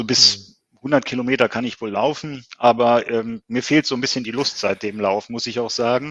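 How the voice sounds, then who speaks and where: Speaking at a moderate pace and medium pitch, a man keeps fairly even intonation while his loudness swings widely. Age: 50s. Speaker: ultrarunner. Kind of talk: interview. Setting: video call.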